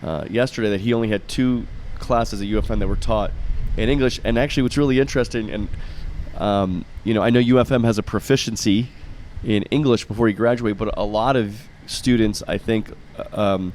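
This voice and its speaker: With an American accent, a man of medium pitch talks fairly quickly in fairly even intonation, an unremarkable speaking voice. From US, Florida. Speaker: podcast host, visiting professor. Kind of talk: interview. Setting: outdoors on a campus terrace.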